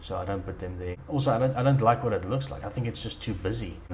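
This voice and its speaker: Fairly low in pitch, a man talks at a fairly quick pace with lively intonation, with audible room echo around him. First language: not English. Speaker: dirt bike hobbyist vlogger. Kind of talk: tutorial. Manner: hesitant, many fillers and repeats.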